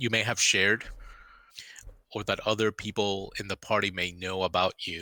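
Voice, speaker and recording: At a moderate pace, the speaker's tone comes across bright and sharp. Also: man, dry, close sound with no echo. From Miami, Cuban-American family. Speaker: game master. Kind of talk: casual chat. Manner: halting, many fillers.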